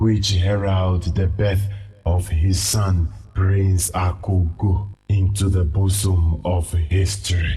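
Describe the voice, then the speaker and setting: The delivery is monotone and flat, at a very slow pace. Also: man, very deep, low pitch for a man. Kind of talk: solemn legend narration. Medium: short film. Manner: grave, measured.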